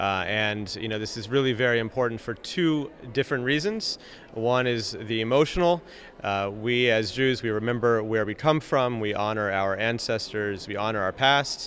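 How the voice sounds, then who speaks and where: Over light background noise, a man speaks at a moderate pace and medium pitch with ordinary pitch variation, the sound dry with no echo. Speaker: nonprofit vice president. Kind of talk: interview. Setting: at a live event. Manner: frequent filler hesitations. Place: hall. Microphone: handheld.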